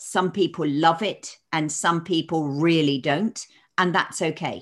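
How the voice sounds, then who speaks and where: On a very clean recording with a silent background, a woman talks at a fairly slow pace. She has an unremarkable speaking voice at a fairly low pitch. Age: 60s. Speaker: stress coach and public speaker. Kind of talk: interview.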